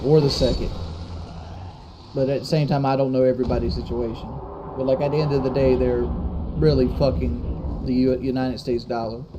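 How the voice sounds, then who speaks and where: This man talks at a fairly quick pace in a Southern US accent, his medium-pitched voice carrying lively intonation. Audible room echo and noticeable background noise fill the recording. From US South, South Carolina. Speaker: gaming live streamer. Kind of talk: live stream chat reading donations.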